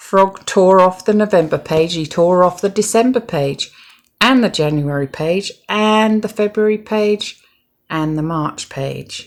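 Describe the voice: Slowly and with lively intonation, a woman speaks in a fairly low pitch.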